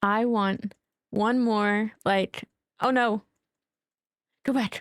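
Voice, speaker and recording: A woman in an American accent, very slow and monotone with flat intonation, the sound dry and close with no echo. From Colorado, US. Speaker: streamer. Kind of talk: casual chat. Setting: live stream. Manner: halting.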